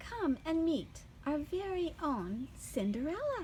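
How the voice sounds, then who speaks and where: A woman uses a put-on character voice at a fairly slow pace, with clear background noise behind her. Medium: read story. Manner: jovial.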